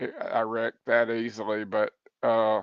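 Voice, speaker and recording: A man is talking. His pace is moderate. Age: 60s. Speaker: sim racing league driver, former racing crewmember. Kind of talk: podcast interview.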